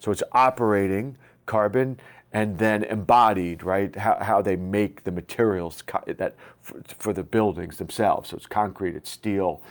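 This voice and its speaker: Loudness swings widely while the intonation stays fairly even. The pace is moderate. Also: man. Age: 50s. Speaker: tech community CEO. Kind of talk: interview.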